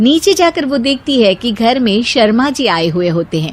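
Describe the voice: At a moderate pace, a woman speaks with a fairly high pitch and big pitch swings.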